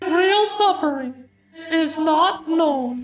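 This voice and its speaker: Pitched extremely high, this is a put-on character voice. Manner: sad, depressed.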